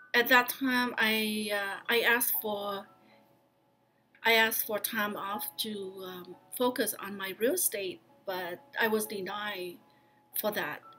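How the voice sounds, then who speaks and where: Over music in the background, a woman with a fairly high pitch speaks at a very slow pace, leaving long, frequent pauses. Her intonation is fairly even, while her loudness swings widely. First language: not English. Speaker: county employee and vlogger. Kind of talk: personal vlog talk. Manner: halting, with fillers.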